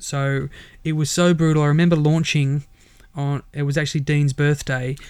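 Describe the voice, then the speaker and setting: A man talks with an Australian accent at a fairly high pitch. His intonation is monotone and flat. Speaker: startup mentor and entrepreneur. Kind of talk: interview.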